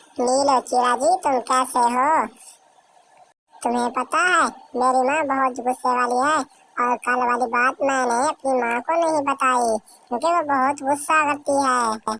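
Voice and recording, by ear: In a cartoonish character voice, the speaker goes at a fairly slow pace with very even loudness and fairly even intonation. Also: woman, high pitch for a woman.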